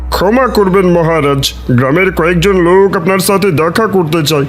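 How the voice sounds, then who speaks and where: At a moderate pace, a man performs a cartoonish character voice pitched high, with clear background noise behind him. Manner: deferential.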